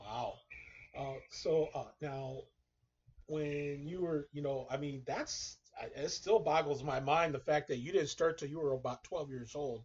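A man's fairly high-pitched, somewhat breathy voice carries fairly even intonation. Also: fairly slow pace. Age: old. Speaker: podcast host. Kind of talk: interview.

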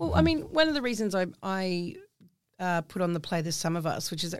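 In a very clean recording with a silent background, a woman speaks at a fairly quick pace. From southwest Western Australia. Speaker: theatre artist and First Nations advocate. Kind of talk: casual group conversation.

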